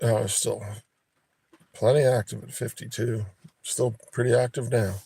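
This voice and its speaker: This man has a dark, mellow tone and a somewhat breathy voice. His intonation is monotone and flat. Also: medium pitch for a man, fairly slow pace, big swings in loudness. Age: 60s. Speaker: live streamer. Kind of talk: casual chat.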